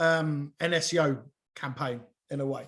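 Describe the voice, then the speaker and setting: Against a quiet background, a man with a southern English accent speaks loudly in a bright, sharp tone. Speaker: SEO consultant and webinar trainer. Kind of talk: live webinar presentation. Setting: group video call. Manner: halting, many fillers and restarts.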